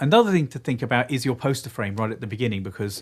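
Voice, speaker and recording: A man with an English accent talks at a very fast pace and a medium pitch. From England. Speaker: video producer and content creator. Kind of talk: live stream panel discussion.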